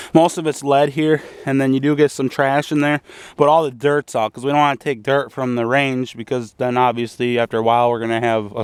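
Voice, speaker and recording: A man at medium pitch, moving at a fairly quick pace with fairly even intonation. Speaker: hobbyist video maker. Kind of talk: casual tutorial. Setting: outdoors at a shooting range. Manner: fast; casual with many fillers.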